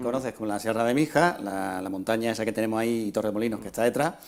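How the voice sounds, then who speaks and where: This man talks at a very fast pace, his medium-pitched voice showing ordinary pitch variation. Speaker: local TV presenter. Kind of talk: TV interviewer questions.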